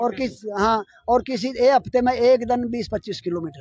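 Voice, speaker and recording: A man's extremely high-pitched voice moves with lively intonation at a moderate pace, the sound dry and close without echo. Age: 70s. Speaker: veteran marathon runner. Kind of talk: interview.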